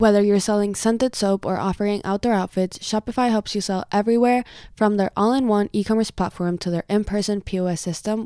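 In an unremarkable speaking voice, a woman talks fairly quickly at a medium pitch with fairly even intonation, on a very clean recording with a silent background. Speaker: podcast host. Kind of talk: casual solo monologue.

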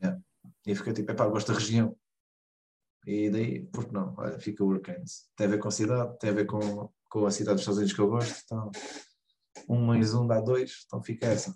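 A fairly quick, somewhat breathy man's voice, fairly low and dark and mellow in tone, with ordinary pitch variation and long, frequent pauses. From Portugal, Lagos (Algarve). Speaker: American football head coach. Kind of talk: interview. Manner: halting, with repetitions.

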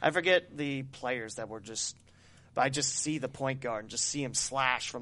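This man talks at a moderate pace in an Ohio accent, his pitch medium and its variation ordinary. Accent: Ohio Midwestern American. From Dayton, Ohio. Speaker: podcast host and sports broadcaster. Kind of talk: casual interview chat.

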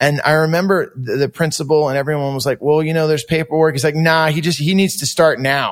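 A man with an American accent, fairly high in pitch, at a very fast pace with hardly any pauses. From California, Santa Cruz. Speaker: punk singer and stand-up comedian. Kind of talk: casual interview chat. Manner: animated storytelling.

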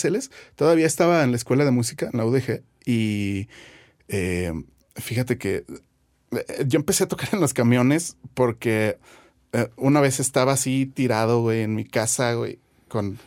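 On a very clean recording with a silent background, a man with a plain, everyday voice speaks at medium pitch and a moderate pace. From Guadalajara, Jalisco, Mexico. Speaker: bassist and music producer. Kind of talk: casual interview chat.

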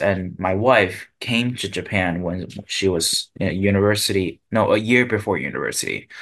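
The speaker has a Chinese accent. Their pitch varies in an ordinary way. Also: man. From Taiwan. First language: Mandarin Chinese. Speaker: guest host, parent. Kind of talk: casual chat. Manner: halting.

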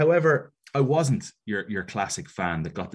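Speaking at a moderate pace with an Irish accent, a man swings his pitch very widely against a quiet background. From Ireland. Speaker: soccer commentator and wrestling show host. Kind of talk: casual interview chat.

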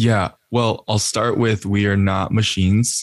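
In a very clean recording with a silent background, a man with an American accent speaks fairly slowly in a flat monotone, the sound dry and close with no echo. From Austin, Texas. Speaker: marketer, podcast host and musician. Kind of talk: casual interview chat.

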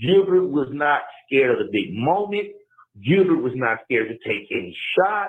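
A man speaks at a moderate pace and a fairly high pitch. His pitch swings very widely. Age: 30s. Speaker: caller. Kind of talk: voicemail. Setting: phone voicemail.

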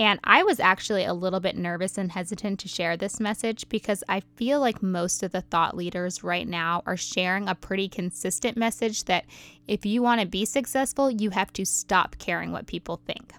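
A woman talks at a moderate pace with hardly any pauses, in a medium-pitched voice with ordinary pitch variation and an animated tone. The sound is dry and close with no echo, on a very clean recording with a silent background. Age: 30s. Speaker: podcast host and motherhood influencer. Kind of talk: solo podcast monologue.

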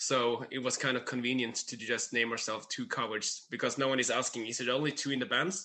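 A man with a Norwegian accent, a bright, sharp tone and fairly even intonation, at a fairly quick pace with hardly any pauses. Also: medium pitch for a man. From Norway. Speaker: musician. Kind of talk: casual interview.

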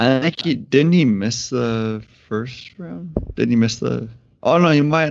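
Using an ordinary speaking voice, a man with a medium pitch talks at a fairly slow pace with lively intonation. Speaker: podcast co-host. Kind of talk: casual chat.

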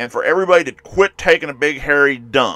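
On a very clean recording with a silent background, a man's bright, sharp tone comes through in a dry, close sound with no echo. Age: 50s. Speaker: podcast host. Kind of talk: solo monologue podcast. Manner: casual, opinionated.

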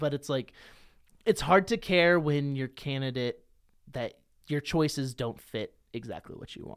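In a very clean recording with a silent background, a man speaks in a normal speaking voice at a fairly high pitch with ordinary pitch variation. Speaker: wrestling podcaster. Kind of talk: casual chat.

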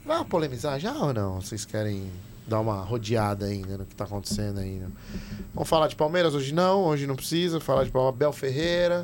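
A man speaks at a fairly quick pace with a medium pitch. His pitch swings very widely. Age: 30s. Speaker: football podcast host. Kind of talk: casual chat. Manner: animated.

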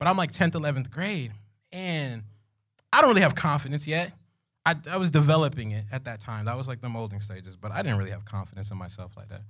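A man's animated, very fast delivery in a South Florida accent, medium in pitch, with very wide pitch swings and big swings in loudness. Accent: South Florida urban American. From South Florida (Pompano Beach). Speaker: comedic storyteller. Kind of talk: storytelling to live audience. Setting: stage with audience.

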